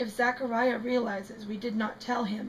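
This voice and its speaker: A raspy, put-on character voice moves at a moderate pace in a monotone with flat intonation. Clear background noise is present. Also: woman. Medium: read story. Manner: worried, soft.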